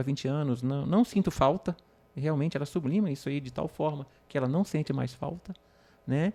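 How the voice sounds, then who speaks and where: This man's voice has a dark, mellow tone. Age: 50s. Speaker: patient with penile prosthesis. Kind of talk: podcast conversation.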